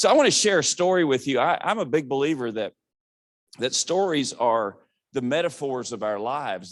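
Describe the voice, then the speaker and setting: A man talks with ordinary pitch variation. The recording is very clean and the background silent. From Southwest Virginia. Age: 60s. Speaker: motivational speaker. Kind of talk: keynote speech. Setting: stage with audience. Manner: animated.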